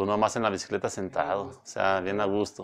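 A man speaks with a Mexican accent at a fairly low pitch. The background is quiet. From Mexico, Villanueva. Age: 40s. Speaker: professional cyclist. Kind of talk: interview. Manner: halting. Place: studio. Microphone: lapel.

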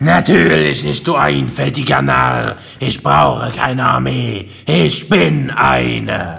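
A raspy put-on character voice moves at a very slow pace. There are hardly any pauses. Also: man, very deep, low pitch for a man. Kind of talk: comic overacting. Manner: gloating, menacing, theatrical.

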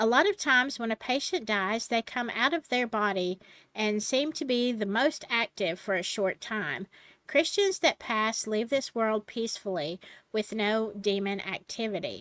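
A woman speaks at a moderate pace in a bright, sharp tone, with ordinary pitch variation. The sound is dry with no echo, and the background is quiet. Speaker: channel host. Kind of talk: casual storytelling vlog. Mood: relaxed, turning serious. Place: home room.

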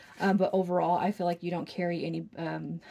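Very fast pace with a dark, mellow tone. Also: woman. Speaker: tarot reader. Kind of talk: tarot reading commentary.

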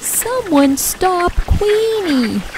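A woman puts on a character voice at an extremely high pitch with big pitch swings and a slightly mellow tone. She goes at a very slow pace over faint background noise.

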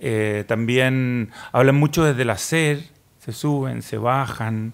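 The man's intonation stays fairly even as he speaks. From Chile. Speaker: writer; guest. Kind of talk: panel discussion. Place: studio. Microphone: studio mic.

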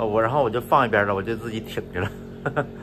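A man is speaking, and noticeable background noise can be heard behind him. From northeast China. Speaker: travel and food vlogger. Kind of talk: casual solo vlog monologue. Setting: at home in Malaysia, lying down. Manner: casual, chatty, laughs often.

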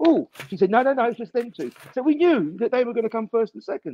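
Talking at a very fast pace, a man with a high pitch makes very wide pitch swings in a dry sound with no echo. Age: 50s. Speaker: comedian. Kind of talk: casual chat. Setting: video call. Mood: wry, anecdotal. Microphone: video call.

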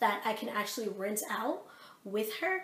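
Fairly high-pitched and animated, a woman talks at a fairly slow pace. Noticeable background noise and audible room echo come through. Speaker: vlogger. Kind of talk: casual rant to camera. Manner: animated, filler-heavy.

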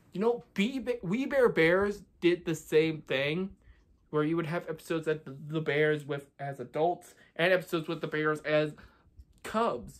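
A man talks at a moderate pace in a high pitch with ordinary pitch variation. His loudness swings widely. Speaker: cartoon commentary vlogger. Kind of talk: commentary. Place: home room. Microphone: phone near.

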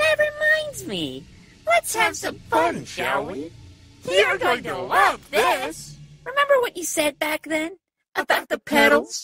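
Over music in the background, a put-on character voice talks at a fairly slow pace. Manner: falsely cheerful, mocking, menacing.

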